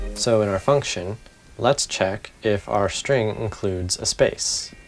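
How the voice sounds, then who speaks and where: There is music in the background. The man talking has a fairly low pitch. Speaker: programming learner / tutorial maker. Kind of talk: casual coding tutorial talk. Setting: home recording with background hiss.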